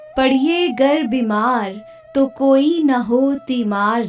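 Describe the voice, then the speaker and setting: Calm tone and lively intonation, with music in the background. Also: woman. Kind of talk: poetry reading. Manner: calm, soft.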